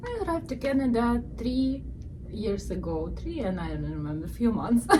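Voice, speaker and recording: Over noticeable background noise and with audible room echo, a woman talks at a moderate pace. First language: not English. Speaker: balloon shop owner. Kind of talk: casual interview. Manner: halting.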